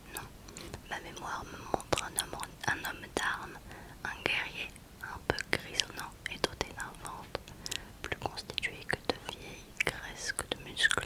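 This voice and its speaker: Someone whispers at a very slow pace, with long, frequent pauses over noticeable background noise. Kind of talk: whispered audiobook-style book reading. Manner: whispered, soft.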